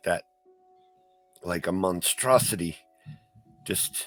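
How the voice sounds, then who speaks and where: In a raspy, put-on character voice with lively intonation, the speaker goes at a fairly slow pace over music in the background. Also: man. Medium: actual play. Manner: hesitant, stammering, courteous.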